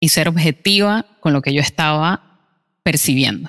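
A woman talks at a fairly slow pace with ordinary pitch variation. The sound is dry and close, without echo. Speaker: podcast co-host, barista. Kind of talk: casual chat. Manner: calm, subdued.

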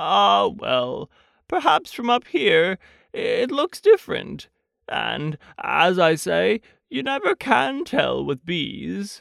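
A man uses a put-on character voice and speaks at a very slow pace. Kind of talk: bedtime story character voice. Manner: earnest, slow-witted, mildly anxious.

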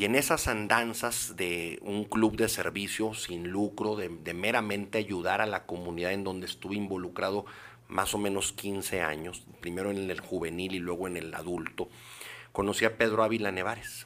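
With a normal speaking voice, a man talks at a moderate pace, fairly low in pitch and with fairly even intonation. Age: 50s. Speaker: politician. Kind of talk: interview.

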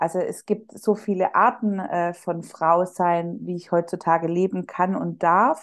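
Speaking at a fairly slow pace with hardly any pauses, a woman has a plain, everyday voice, fairly low in pitch, with fairly even intonation. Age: 30s. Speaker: psychological counselor. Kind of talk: casual interview chat.

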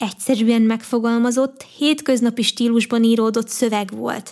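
A woman with a fairly high pitch, a normal speaking voice. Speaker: podcast host and youtuber. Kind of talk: personal monologue.

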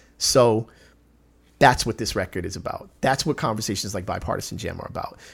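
A man's somewhat breathy voice at medium pitch and a fairly quick pace, on a very clean recording with a silent background. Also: ordinary pitch variation. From South Central Los Angeles, then LA suburbs. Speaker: rapper. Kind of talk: casual interview chat.

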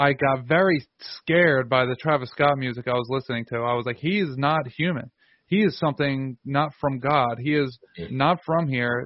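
A man's unremarkable speaking voice, medium in pitch, at a moderate pace with ordinary pitch variation. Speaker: podcast host. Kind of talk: interview conversation.

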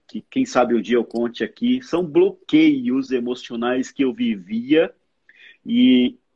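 Very wide swings in pitch run through this man's speech. He talks very slowly. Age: 40s. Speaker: former pastor. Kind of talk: casual chat.

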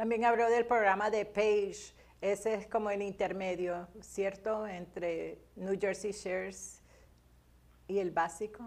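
The speech moves at a very slow pace with monotone, flat intonation. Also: woman, medium pitch for a woman. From Colombia. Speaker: chaplain and co-host. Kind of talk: talk show co-hosting; scripted closing announcement.

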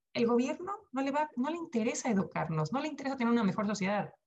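A somewhat breathy woman at a moderate pace, her pitch swinging very widely. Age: 40s. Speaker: sustainability entrepreneur. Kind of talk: podcast interview.

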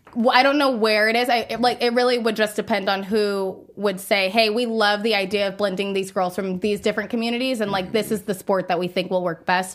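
A woman with an American accent, medium pitch, fairly even intonation, a fairly quick pace, and a plain, everyday voice. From US, suburban. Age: 20s. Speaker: nonprofit executive director and former college softball pitcher. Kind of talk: casual interview.

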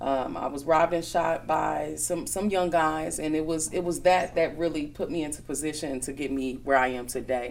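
A woman with an American accent speaks at a moderate pace with a very deep, low pitch and ordinary pitch variation, with noticeable background noise and audible room echo. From Milwaukee, Wisconsin. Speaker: magazine owner and entrepreneur. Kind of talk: interview conversation.

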